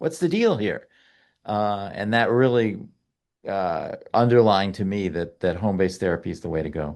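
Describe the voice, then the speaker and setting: Against a quiet background, a man with a normal speaking voice and an American accent talks at a moderate pace, fairly low in pitch, with lively intonation. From United States. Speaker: pediatrics professor and malnutrition expert. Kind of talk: podcast interview.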